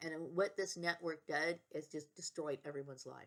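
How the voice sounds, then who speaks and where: At a moderate pace, a woman speaks in a very deep, low pitch with fairly even intonation. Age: 50s. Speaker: vlogger. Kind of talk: personal monologue vlog. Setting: at home. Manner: agitated, repetitive.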